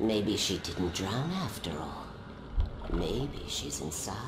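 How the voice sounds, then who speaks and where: Whispering in a put-on character voice, a man speaks at a fairly slow pace. Loud background noise fills the clip. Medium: video game. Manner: whispering, manipulative.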